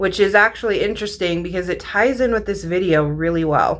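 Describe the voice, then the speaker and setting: A woman's voice with ordinary pitch variation. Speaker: mindset and manifestation coach. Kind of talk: casual vlog monologue. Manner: energetic, profanity-laced.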